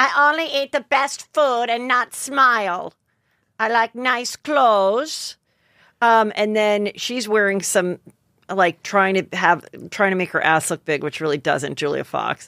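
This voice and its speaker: A woman speaks at a fairly slow pace in an animated tone, her pitch swinging very widely. The background is quiet and the sound is dry with no echo. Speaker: comedian and podcast host; comedian, podcast host. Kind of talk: casual chat. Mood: gossipy, joking. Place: studio. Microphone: studio mic.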